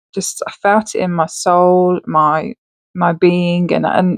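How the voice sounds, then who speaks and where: A woman at medium pitch, with a dry, close sound and no echo. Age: 30s. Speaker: podcaster sharing abduction experiences. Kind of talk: personal testimony monologue. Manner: stumbling over words.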